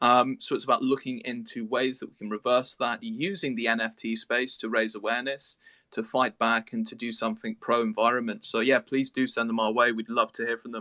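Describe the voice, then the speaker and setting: A man with an English accent talks at a fairly quick pace and medium pitch in a bright, sharp tone with fairly even intonation and big swings in loudness, on a very clean recording with a silent background and a dry, close sound with no echo. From England. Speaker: project team member on a metaverse cruise project. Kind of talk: interview on a live audio space. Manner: hesitant, many fillers and repetitions.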